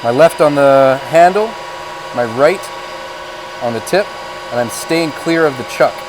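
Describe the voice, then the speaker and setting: A man with a fairly high pitch speaks at a fairly slow pace, using lively intonation and long, frequent pauses. Noticeable background noise sits behind him. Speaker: shop teacher. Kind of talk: tutorial.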